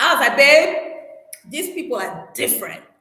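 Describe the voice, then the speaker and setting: A woman with a non-native accent speaks in an animated tone at a moderate pace. Audible room echo surrounds her voice. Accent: non-Gambian. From Cameroon, Douala. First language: French. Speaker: YouTuber on relocation and investing in Africa.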